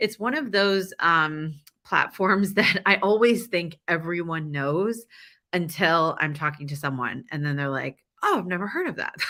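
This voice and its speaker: On a very clean recording with a silent background, a woman with a fairly low pitch speaks at a fairly slow pace in an animated, bright, sharp tone with lively intonation. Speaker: event host and conference organizer. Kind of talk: virtual conference presentation.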